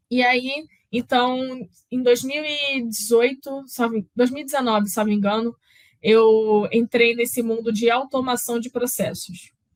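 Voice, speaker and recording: In a Carioca accent, a woman speaks at a high pitch. Her pace is fairly slow and her intonation fairly even. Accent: carioca, drawling. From Rio de Janeiro, Brazil. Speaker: process automation specialist, speaker. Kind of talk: conference talk.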